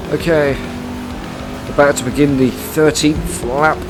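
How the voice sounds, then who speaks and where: With music in the background, a man with a British accent speaks fairly slowly at a fairly high pitch and with fairly even intonation. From Britain. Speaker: gaming commentator. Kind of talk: live gameplay commentary.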